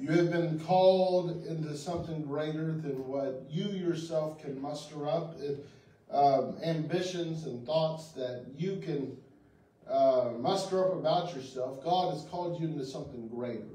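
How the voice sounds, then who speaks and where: With audible room echo, a man speaks at a fairly slow pace using ordinary pitch variation. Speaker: pastor. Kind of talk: sermon. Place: church.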